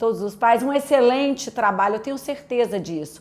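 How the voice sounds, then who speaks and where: On a very clean recording with a silent background, a woman with a Minas Gerais accent speaks in a high pitch with ordinary pitch variation. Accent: mineiro (Minas Gerais). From Brazil, Minas Gerais (Belo Horizonte). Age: adult, a mother. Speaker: pastor. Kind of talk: testimony.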